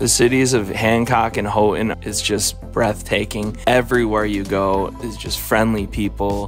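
Music plays in the background while a man talks. His moderate pace comes through a dry sound with no echo. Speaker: travel vlogger. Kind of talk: voice-over travel narration.

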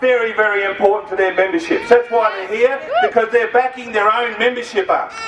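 Speaking with an Australian accent, a man uses an extremely high pitch with ordinary pitch variation, amid audible room echo and light background noise. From Australia (Victoria). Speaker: trade union official. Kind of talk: fiery protest-rally speech rousing a crowd against state education cuts. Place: street.

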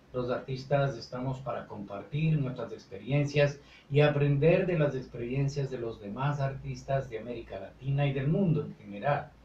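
With audible room echo and light background noise, a man speaks at a moderate pace with fairly even intonation. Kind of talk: interview answer. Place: studio. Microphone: camera far.

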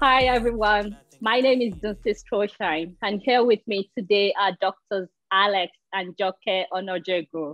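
A woman talks at a fairly slow pace against a quiet background, the sound dry with no echo. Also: ordinary pitch variation. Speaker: interviewer. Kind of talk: interview. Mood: warm, friendly. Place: home room. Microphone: earbuds.

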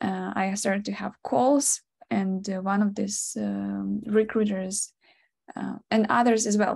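A woman talks at a fairly slow pace against a quiet background. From Ukraine. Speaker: product designer. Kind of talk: webinar presentation. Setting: video call. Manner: giggly, frequent laughter; halting, many fillers. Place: home room. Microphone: video call.

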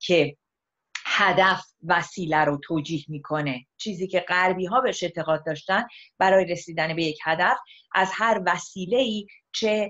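Against a quiet background, a woman talks in an unremarkable speaking voice pitched fairly low. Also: ordinary pitch variation, fairly slow pace. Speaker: guest. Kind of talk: interview answer. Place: home room. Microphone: video call.

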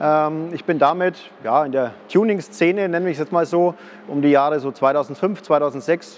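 A man's speech has ordinary pitch variation, and light background noise can be heard. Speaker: car salesman presenting his project car. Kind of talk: presentation to camera. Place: workshop. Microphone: lapel.

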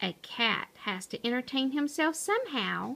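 A woman's put-on character voice, high-pitched with vocal fry, a fairly bright tone and big pitch swings. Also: moderate pace.

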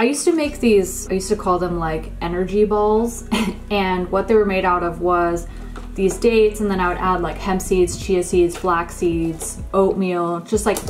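Faint music plays in the background. A woman talks with fairly even intonation. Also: moderate pace. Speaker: lifestyle vlogger. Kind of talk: casual haul chat. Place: kitchen.

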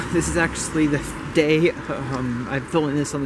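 Amid noticeable background noise, a man talks at a fairly quick pace, his fairly high pitch showing ordinary pitch variation. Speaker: lifestyle vlogger. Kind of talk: casual vlog narration. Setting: outdoors. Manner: casual, rambling. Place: street. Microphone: phone near.

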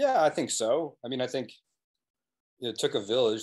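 Over a quiet background, a man talks with an American accent. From New England, US. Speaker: documentary filmmaker; guest. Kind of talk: casual interview. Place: home room. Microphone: video call.

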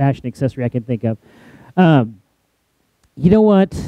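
A man speaks at a fairly quick pace in a dark, mellow tone. The sound is dry with no echo, over a quiet background. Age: 40s. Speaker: pastor. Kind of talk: sermon. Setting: church. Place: church. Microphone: headset.

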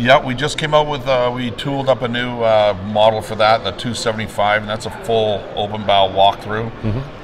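With noticeable background noise, a man talks at a fairly low pitch with ordinary pitch variation. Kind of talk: interview answer. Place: hall. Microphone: handheld.

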